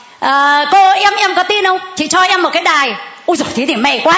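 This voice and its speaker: The recording of a woman with ordinary pitch variation has noticeable background noise and audible room echo. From northern Vietnam (Hanoi area). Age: 60s. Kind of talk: testimony.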